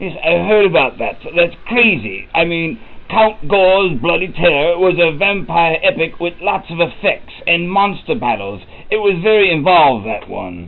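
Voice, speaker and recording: Someone puts on a character voice at a moderate pace. There is light background noise. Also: man, high pitch for a man. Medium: audio drama. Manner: grandiose, theatrical.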